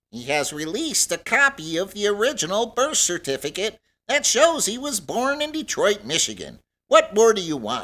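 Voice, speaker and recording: Using a put-on character voice, a man speaks at a high pitch. His pitch swings very widely at a moderate pace. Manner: indignant, increasingly angry.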